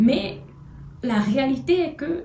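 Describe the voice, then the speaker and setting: Audible room echo hangs around a woman as she talks. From Togo. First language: an African language (not French) (speaking French). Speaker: political commentator. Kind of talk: video monologue. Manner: halting, many hesitations.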